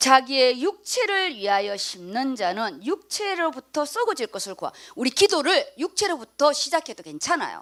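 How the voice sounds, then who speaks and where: Loud and high-pitched, a woman talks with very wide pitch swings and hardly any pauses. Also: moderate pace. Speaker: pastor. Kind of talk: sermon.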